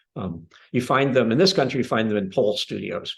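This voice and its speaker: With vocal fry, a man talks in very wide pitch swings. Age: 70s. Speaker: Pilates instructor. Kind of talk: interview.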